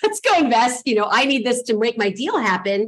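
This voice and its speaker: A woman's fairly high voice, lively in intonation and fairly quick in pace. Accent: Californian. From Los Angeles, US. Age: 40s. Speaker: real estate investor. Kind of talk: interview. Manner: chatty.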